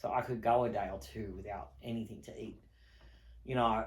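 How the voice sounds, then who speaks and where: A man's very deep, low voice with vocal fry and very wide pitch swings, in an Australian accent, with audible room echo. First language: not English. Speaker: online video host. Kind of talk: personal testimony.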